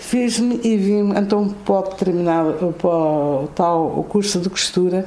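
Against noticeable background noise, a woman of medium pitch speaks very slowly with hardly any pauses, very even loudness, and ordinary pitch variation. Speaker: president of an arts and crafts association, retired office worker. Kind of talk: radio interview. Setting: on location at the association.

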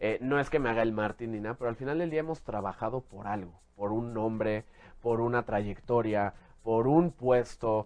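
With a Mexican accent, a man speaks at a moderate pace in a medium pitch with ordinary pitch variation against a quiet background. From Mexico City, born in Jalisco. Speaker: fashion stylist. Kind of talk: casual interview.

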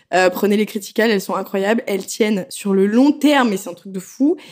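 A woman talks at a moderate pace in an unremarkable speaking voice. Her pitch sits in the medium range. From France. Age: 20s. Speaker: tattoo artist. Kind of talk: casual chat.

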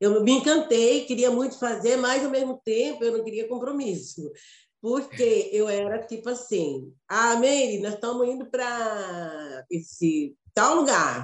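Here a woman speaks with a fairly high pitch and lively intonation. Her pace is fairly slow. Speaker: actress and teacher. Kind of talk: casual chat.

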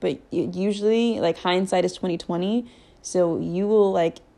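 A woman's dark, mellow tone at a moderate pace. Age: 20s. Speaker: podcast host. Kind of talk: casual chat. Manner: casual, filler-heavy.

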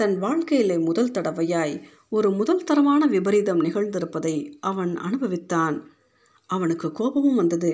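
Lively intonation in a natural voice reading aloud

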